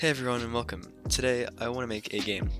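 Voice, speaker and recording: A man's voice with music in the background. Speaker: hobbyist game programmer. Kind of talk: casual coding commentary. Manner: casual, hesitant.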